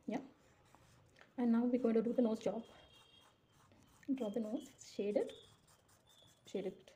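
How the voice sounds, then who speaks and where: Soft-spoken and set at a moderate pace, a woman's fairly high-pitched voice carries a dark, mellow tone with fairly even intonation. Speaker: drawing tutor. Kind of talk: tutorial. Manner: casual, conversational.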